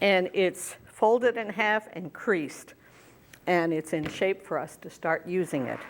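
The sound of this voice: A woman's fairly low voice at a slow pace with ordinary pitch variation.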